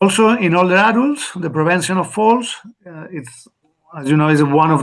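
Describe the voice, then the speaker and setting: A man's fairly high voice, fairly quick, with lively intonation and big swings in loudness. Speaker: physiotherapy expert speaker. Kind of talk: webinar presentation. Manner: fast; halting.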